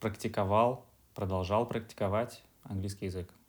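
At a moderate pace and with fairly even intonation, a man speaks on a very clean recording with a silent background. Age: 30s. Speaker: office worker, former exchange student. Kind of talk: interview.

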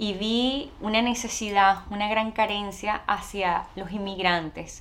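A woman in a Venezuelan accent, of medium pitch and fairly even intonation, against noticeable background noise. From Venezuela, Caracas. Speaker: actress and TV presenter, immigration adviser. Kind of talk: interview.

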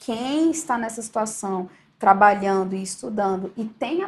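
Speaking at a moderate pace, a woman has an unremarkable speaking voice with a fairly high pitch. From Brasília, Brazil. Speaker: federal auditor and online course teacher. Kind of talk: interview.

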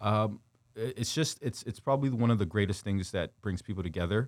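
Speaking at a moderate pace with ordinary pitch variation, a man is heard on a very clean recording with a silent background. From Windsor, Ontario, Canada. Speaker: former pro football player and youth coach. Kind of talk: interview. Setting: studio.

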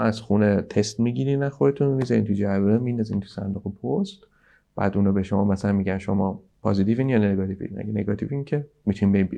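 Speaking very fast, a man has a dark, mellow tone at a fairly low pitch with ordinary pitch variation. The background is quiet. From Iran. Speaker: video game development director. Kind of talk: casual interview.

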